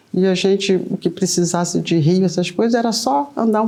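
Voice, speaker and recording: Using a plain, everyday voice, a woman talks at a moderate pace with fairly even intonation. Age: 60s. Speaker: candomblé elder. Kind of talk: oral history interview.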